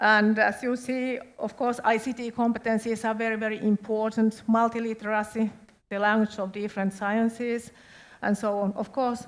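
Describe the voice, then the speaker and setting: On a very clean recording with a silent background, a woman with a Finnish accent speaks at a moderate pace in a fairly high, monotone voice. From Finland. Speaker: education official. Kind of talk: presentation.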